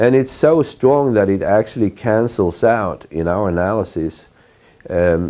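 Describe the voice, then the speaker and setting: The tone is dark and mellow, with ordinary pitch variation and a fairly slow pace. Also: man. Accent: Swedish. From Sweden. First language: Swedish. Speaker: professor. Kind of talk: lecture.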